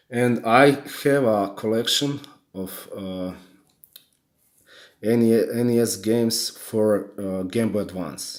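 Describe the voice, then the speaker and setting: A man with a strong non-native accent speaks at a very slow pace, with long, frequent pauses. His pitch is medium, with ordinary variation. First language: not English. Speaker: gaming YouTuber. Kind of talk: unboxing video. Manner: halting, many repetitions.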